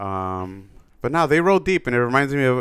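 On a very clean recording with a silent background, a man with a normal speaking voice talks at a fairly quick pace and medium pitch, with lively intonation. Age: 30s. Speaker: podcast co-host. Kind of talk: casual chat. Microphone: very close to the mic.

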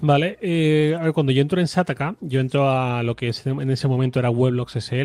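On a very clean recording with a silent background and a dry, close sound with no echo, a man with a normal speaking voice talks at a fairly quick pace, with medium pitch and ordinary variation. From Spain, Torrent near Valencia. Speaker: tech journalist and podcaster. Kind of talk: interview.

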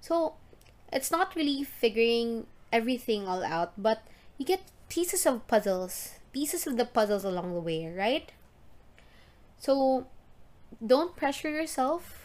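A woman with a Visayan Filipino accent speaks at a fairly slow pace in a high voice, her animated tone sweeping through very wide pitch swings, with long, frequent pauses on a very clean recording with a silent background. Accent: Filipino (Cebuano) English. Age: 30s. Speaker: podcast host. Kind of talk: solo casual podcast monologue.

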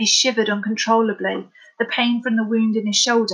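Someone reads the text aloud in a plain way.

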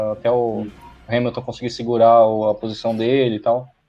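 A man's medium-pitched voice in a monotone, flat intonation, with music in the background. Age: 30s. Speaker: motorsport co-host. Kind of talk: casual chat. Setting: online live stream. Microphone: unstable connection, dropped out.

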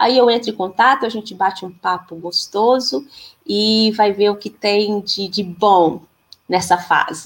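A woman talks in a plain, everyday voice at a medium pitch. Her pace is fairly slow and her pitch varies in an ordinary way. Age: 40s. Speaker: physical education teacher and women's circle facilitator. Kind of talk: casual interview on a live stream. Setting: live stream video call.

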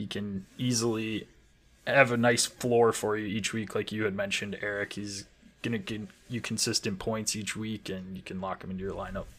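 A man with an American accent, fairly low in pitch, at a moderate pace in a monotone, flat intonation. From Wisconsin. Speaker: fantasy football podcast co-host. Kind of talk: casual chat.

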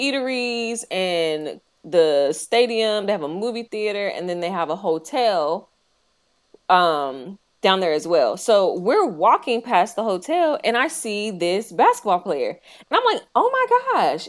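At a fairly slow pace, the speaker's pitch swings very widely in an American accent, on a very clean recording with a silent background. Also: woman. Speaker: podcast co-host. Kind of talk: casual chat.

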